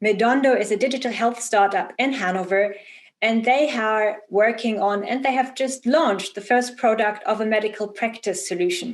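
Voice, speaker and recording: With a German accent, a woman speaks at a moderate pace in a fairly high pitch with ordinary pitch variation. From Germany. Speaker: event host. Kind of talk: interview.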